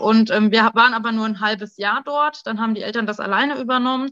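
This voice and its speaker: Against a quiet background, a woman with a bright, sharp tone talks at a fairly quick pace with fairly even intonation, in a dry, close sound with no echo. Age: 30s. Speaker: pediatric intensive care nurse. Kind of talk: interview.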